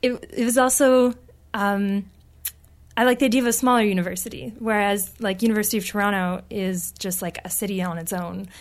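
On a very clean recording with a silent background, a woman with a Canadian accent and an unremarkable speaking voice talks at a fairly quick pace and medium pitch with ordinary pitch variation. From northern British Columbia, Canada. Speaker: graduate student. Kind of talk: interview. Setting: studio.

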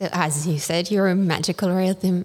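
Speaking with a French accent and fairly even intonation, the voice comes through on a very clean recording with a silent background. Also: woman. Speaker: radio host. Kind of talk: interview. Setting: festival radio studio. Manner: halting.

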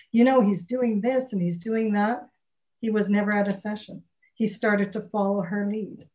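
A woman with a dark, mellow, somewhat breathy tone speaks at a medium pitch and moderate pace, in a monotone, flat intonation. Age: 60s. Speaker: relationship coach and author. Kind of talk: casual interview.

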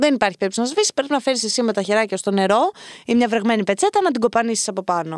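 A woman speaks very fast at a fairly high pitch, animated and lively in intonation, with a dry, close sound and no echo. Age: 20s. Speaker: podcast host. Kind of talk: casual advice monologue.

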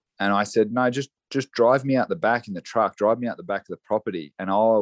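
In an Australian accent, the speaker goes at a fairly quick pace with ordinary pitch variation, the sound dry and close with no echo against a quiet background. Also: man. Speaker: horse trainer and saddle maker. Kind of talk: casual interview chat.

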